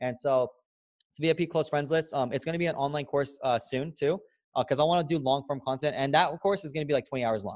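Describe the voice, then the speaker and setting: Over a quiet background, a man with an American accent talks at a very fast pace in a fairly high pitch, with ordinary pitch variation. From San Diego, California. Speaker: digital marketing and networking entrepreneur. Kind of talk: casual interview chat. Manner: animated.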